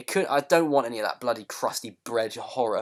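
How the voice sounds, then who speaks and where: A man at a very fast pace with a British accent and ordinary pitch variation. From UK. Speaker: comedy podcast host. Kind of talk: comedic podcast banter. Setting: online call. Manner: halting, many fillers and repetitions.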